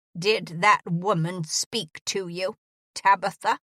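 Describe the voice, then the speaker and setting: Using a put-on character voice, a woman speaks fairly slowly at a medium pitch, with a dry, close sound and no echo. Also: fairly even intonation. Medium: read story. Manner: curt, demanding.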